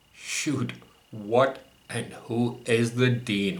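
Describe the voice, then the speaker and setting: Audible room echo surrounds a man speaking in a bright, sharp tone. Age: 60s. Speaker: podcaster recounting personal grievances. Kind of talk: memoir narration.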